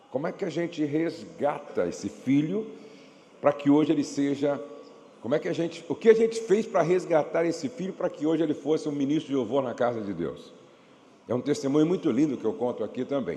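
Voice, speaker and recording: Here a man speaks at a fairly quick pace. His pitch is fairly high and his intonation lively. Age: 60s. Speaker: pastor and marriage speaker. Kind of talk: church workshop talk; sales pitch. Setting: church with audience and PA system. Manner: not shouting, moderate volume.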